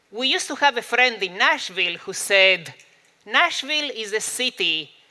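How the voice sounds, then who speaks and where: Speaking at a fairly slow pace with a Spanish accent, a man uses a raised, projected voice. His pitch is high and makes very wide swings. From Argentina. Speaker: psychology professor and speaker. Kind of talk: talk to a live audience. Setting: stage with audience. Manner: humorous, conversational with fillers.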